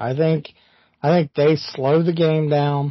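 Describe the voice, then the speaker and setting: The tone is animated. The pace is fairly slow. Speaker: podcast co-host. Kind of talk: casual sports banter. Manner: animated, joking, profane.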